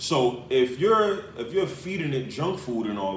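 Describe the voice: A man at medium pitch with lively intonation and audible room echo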